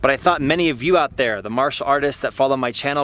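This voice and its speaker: Light background noise accompanies a man whose voice sounds dry, with no echo. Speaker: martial arts teacher, vlogger. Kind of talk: casual vlog chat. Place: open country. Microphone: phone near.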